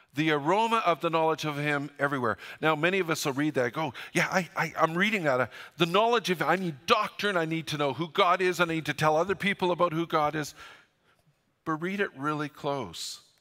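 A man's fairly high, bright and sharp voice with a Western Canadian accent. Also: ordinary pitch variation, fairly quick pace. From Canada, northern British Columbia. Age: 60s. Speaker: pastor. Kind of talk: sermon. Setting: church.

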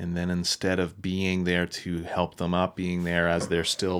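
At a fairly slow pace and in a flat monotone, the speaker has a Maritime Canadian accent, recorded very cleanly against a silent background. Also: man. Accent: Canadian (Maritimes). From Nova Scotia, Canada. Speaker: pastor. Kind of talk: casual chat.

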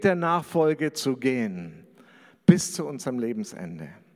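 Here is a man with an ordinary speaking voice. He talks at a fairly slow pace with lively intonation. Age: 50s. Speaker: pastor. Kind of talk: sermon.

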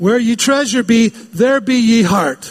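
A put-on character voice moves at a fairly slow pace. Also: man. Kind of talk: pirate speech.

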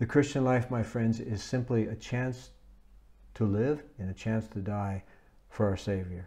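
A man of medium pitch speaks at a fairly slow pace, somewhat breathy, with a dark, mellow tone and ordinary pitch variation. The recording is very clean, with a silent background. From United States. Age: 70s. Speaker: visiting preacher. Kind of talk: sermon. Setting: speaking to a camera for a recorded service.

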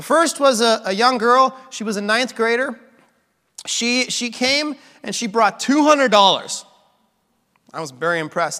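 With a bright, sharp tone and an extremely high pitch, a man speaks in a raised, projected voice at a moderate pace, using lively intonation and long, frequent pauses. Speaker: pastor. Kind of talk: sermon.

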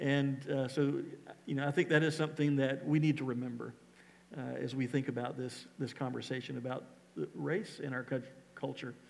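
With an unremarkable speaking voice, a man at medium pitch talks at a moderate pace, his intonation fairly even. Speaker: pastor. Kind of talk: church service conversation with a guest. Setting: church.

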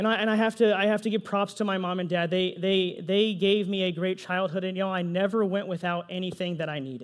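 Here a man talks at a very fast pace. His pitch is high. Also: hardly any pauses. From Texas, Pflugerville. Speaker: pastor. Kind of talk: sermon. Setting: church. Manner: animated.

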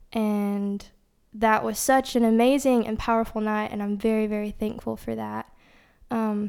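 A woman talks at a moderate pace, her pitch fairly high. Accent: Tennessee. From East Tennessee, US South. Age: young. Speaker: nursing student, church worship team member. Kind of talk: testimony.

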